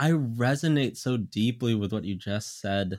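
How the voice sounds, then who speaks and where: On a very clean recording with a silent background, a man with a normal speaking voice talks at a fairly slow pace. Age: 20s. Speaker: podcast co-host. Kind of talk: casual chat.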